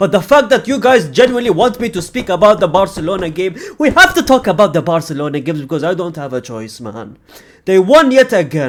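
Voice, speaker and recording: Very wide pitch swings in a man's speech. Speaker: football reaction youtuber. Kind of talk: reaction video monologue. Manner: low energy.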